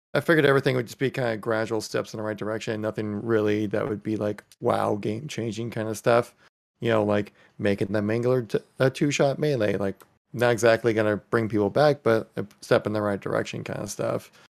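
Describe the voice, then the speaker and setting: A man with a fairly low pitch talks at a fairly quick pace in an ordinary speaking voice with fairly even intonation, captured in a very clean recording with a silent background. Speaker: Halo video creator. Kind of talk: casual chat.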